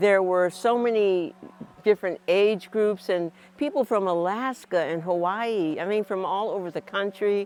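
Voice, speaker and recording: Speech at a moderate pace with ordinary pitch variation, with music playing in the background. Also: woman, medium pitch for a woman. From Atlanta, Georgia. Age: 70s. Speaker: retired teacher. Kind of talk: interview answer.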